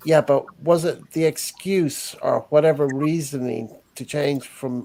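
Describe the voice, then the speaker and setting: The speaker talks at a fairly slow pace in an Irish accent. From Ireland. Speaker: live stream host. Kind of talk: casual chat. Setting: live stream chat.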